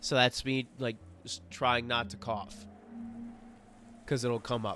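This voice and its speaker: Music plays behind a man speaking at a very slow pace. His medium-pitched voice stays monotone and flat. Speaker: streamer reading a visual novel. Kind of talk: live stream reading aloud with casual commentary. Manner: voice sounds close to crying.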